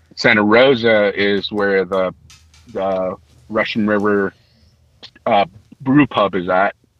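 A man with an American accent and a fairly low pitch talks very slowly, with long, frequent pauses. His intonation is fairly even, and the sound is dry and close with no echo. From San Francisco Bay Area, California. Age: 20s. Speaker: brewer. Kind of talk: casual chat. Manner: halting.

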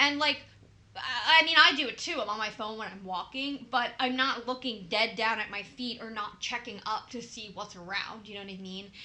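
A woman speaks in a fairly high pitch, her loudness swinging widely. Noticeable background noise runs underneath. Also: ordinary pitch variation, moderate pace. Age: 20s. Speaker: podcast co-host and nurse. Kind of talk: casual chat.

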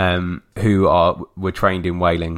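The speaker is a man with an English accent. His pitch is very deep and low. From England. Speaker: podcast co-host. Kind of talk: casual chat.

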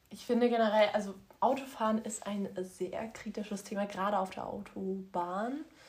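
A woman's medium-pitched voice is somewhat breathy, with fairly even intonation. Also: moderate pace. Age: 20s. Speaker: podcast co-host. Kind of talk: casual chat.

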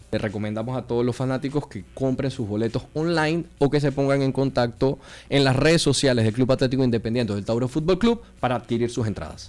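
With a Panamanian accent, a man talks very fast at a medium pitch, using ordinary pitch variation and hardly any pauses. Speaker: football league commissioner. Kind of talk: radio interview.

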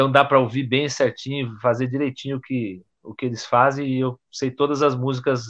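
The speaker talks at a fairly quick pace in a monotone, with flat intonation. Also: man. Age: 40s. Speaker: guitarist and dentist. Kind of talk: casual chat.

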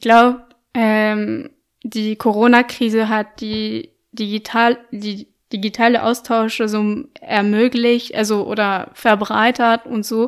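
A woman's fairly high voice with a French accent, very slow, monotone and flat, on a very clean recording with a silent background. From France, Lyon. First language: French (speaking German). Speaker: podcaster and journalist. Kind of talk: interview. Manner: hesitant, many fillers.

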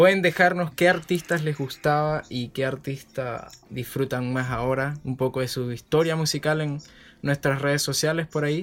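Here a man speaks with a fairly high pitch. His pace is moderate and his intonation fairly even. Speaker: podcast host. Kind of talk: casual chat.

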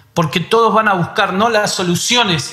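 Noticeable background noise accompanies a man whose pitch moves with ordinary variation. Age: 30s. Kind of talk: devotional conversation.

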